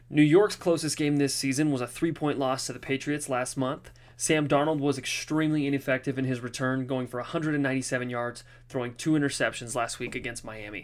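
On a very clean recording with a silent background, a man with a normal speaking voice talks at medium pitch and a moderate pace, his intonation fairly even. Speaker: sports betting analyst. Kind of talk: scripted betting segment.

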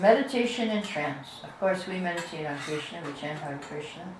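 A woman's fairly low-pitched voice amid noticeable background noise. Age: 70s. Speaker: spiritual teacher. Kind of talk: lecture. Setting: live class, streamed online.

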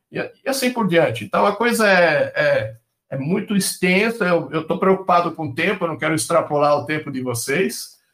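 The speaker is a man with a high pitch and lively intonation. He keeps a moderate pace. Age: 60s. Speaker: industrial company general manager. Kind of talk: interview.

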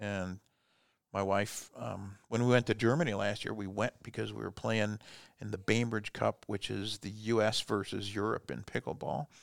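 In a Midwestern American accent, a man with a fairly low pitch, vocal fry and ordinary pitch variation is heard in dry, close sound with no echo on a very clean recording with a silent background. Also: moderate pace. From US Midwest (Fort Wayne, Indiana). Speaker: business coach. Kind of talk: casual interview. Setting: studio.

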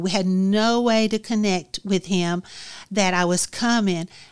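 A woman with an Alabama accent, medium pitch and fairly even intonation at a moderate pace, in a very clean recording with a silent background. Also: very even loudness. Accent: Southern US (Alabama). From US South, Alabama (Dothan). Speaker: author. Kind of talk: interview, personal story.

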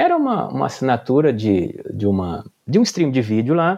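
Over a quiet background, a man with a dark, mellow tone and fairly high pitch speaks at a moderate pace. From Brazil, Pernambuco interior then Brasília. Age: 40s. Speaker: entrepreneur. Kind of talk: interview.

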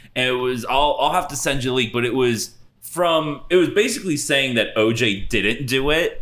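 A man talks in a normal speaking voice at a fairly high pitch. His pace is moderate, with ordinary pitch variation. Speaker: co-host. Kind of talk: casual chat. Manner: joking, bantering.

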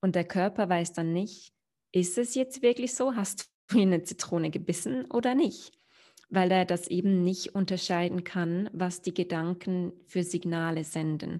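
Against a quiet background, a woman with a dark, mellow tone speaks at a medium pitch and a fairly slow pace, with ordinary pitch variation. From Switzerland, near Olten. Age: 30s. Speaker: meditation teacher and mindset coach. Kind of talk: interview, personal story.

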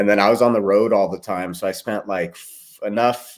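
With an American accent, a man speaks at a moderate pace and fairly even intonation on a very clean recording with a silent background. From California, small town north of LA. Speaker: real estate investor. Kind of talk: casual interview chat.

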